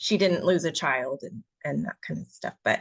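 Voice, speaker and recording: A quiet woman's voice at a moderate pace, with a dry, close sound and no echo. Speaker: author. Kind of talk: casual chat. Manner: halting.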